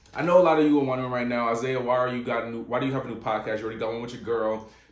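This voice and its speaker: Noticeable background noise and audible room echo surround a man speaking in an American accent. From Virginia. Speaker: podcast host. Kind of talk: casual monologue. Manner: halting.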